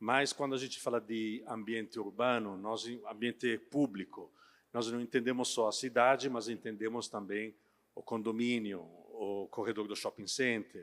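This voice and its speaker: A man speaks with a non-native accent at a medium pitch, at a fairly slow pace. The recording is very clean, with a silent background. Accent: foreign accent in Portuguese. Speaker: company sales director. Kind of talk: trade fair talk. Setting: stage with audience. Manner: halting, many filler sounds.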